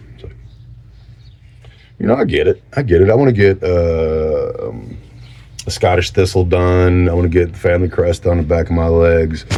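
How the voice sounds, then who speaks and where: A man talks at a moderate pace in a very deep, low pitch with a dark, mellow tone. His loudness swings widely, and he makes long, frequent pauses. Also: ordinary pitch variation. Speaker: vlogger. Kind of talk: casual chat. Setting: home garage workshop. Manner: halting.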